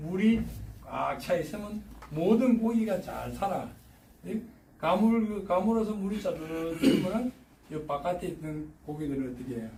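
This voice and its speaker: In a strong Gyeongsang accent, a man speaks at a high pitch and a fairly slow pace with an animated tone, big swings in loudness, and long, frequent pauses, amid noticeable background noise and audible room echo. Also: lively intonation. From Gyeongsang Province, South Korea. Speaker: retiree turned railway signal technician. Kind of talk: casual talk giving career advice. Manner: colloquial, animated.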